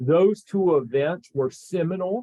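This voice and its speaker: A man speaks with a Southern US accent. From Tennessee, Chattanooga. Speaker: government agency administrator. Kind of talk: webinar presentation. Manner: halting, many fillers.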